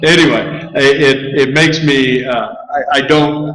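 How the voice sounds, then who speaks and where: Speaking fairly slowly at a medium pitch, a man is heard with audible room echo. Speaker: statistics lecturer. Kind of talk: lecture. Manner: halting.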